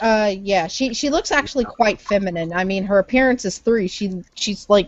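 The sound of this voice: Unforced reading voice, ordinary variation in pitch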